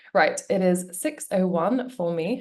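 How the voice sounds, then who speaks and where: The speaker has a British accent and lively intonation. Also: woman. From UK. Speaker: webinar host, business coach. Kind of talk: live webinar presentation. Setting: video call. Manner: casual, chatty.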